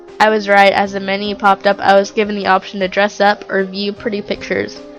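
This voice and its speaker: Over background music, a woman talks fairly quickly at a medium pitch in a flat monotone. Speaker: creepypasta narrator. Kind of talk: horror story narration.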